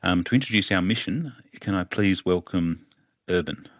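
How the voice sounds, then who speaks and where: In an Australian accent, a man talks at a moderate pace with a very deep, low pitch. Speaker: webinar moderator. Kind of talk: webinar moderation.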